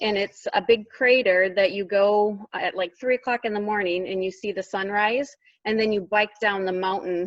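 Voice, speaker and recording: A woman in a Minnesotan accent speaks at a moderate pace with a medium pitch and fairly even intonation. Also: hardly any pauses. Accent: Minnesota. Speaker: teacher assistant. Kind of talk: casual interview.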